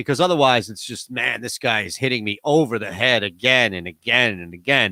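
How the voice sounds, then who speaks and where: Loud and bright with a sharp tone, a man's voice comes across dry and close with no echo on a very clean recording with a silent background. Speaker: radio host. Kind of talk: casual chat. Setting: home studio.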